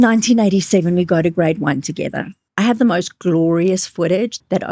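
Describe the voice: Over a quiet background, the text is read aloud plainly, with ordinary pitch variation.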